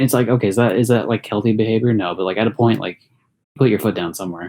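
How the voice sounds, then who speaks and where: A man's very fast delivery at a medium pitch, dark and mellow in tone, with fairly even intonation. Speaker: podcast co-host. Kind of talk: casual chat. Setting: online voice call.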